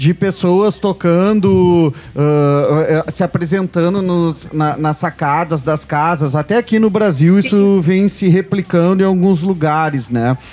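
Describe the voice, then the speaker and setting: A man with a southern Brazilian accent speaks at a very slow pace in a high voice, with ordinary pitch variation, very even loudness, hardly any pauses and noticeable background noise. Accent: gaúcho Brazilian Portuguese. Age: 40s. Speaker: radio show host. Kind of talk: casual chat. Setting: studio.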